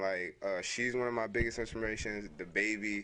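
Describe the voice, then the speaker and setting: With a relaxed yet bright, sharp tone, a man talks at a fairly low pitch and fairly quick pace, his intonation fairly even. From born in Brooklyn, New York; raised in DMV (Washington area) from 13. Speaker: rapper. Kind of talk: casual interview chat. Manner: filler-heavy, relaxed.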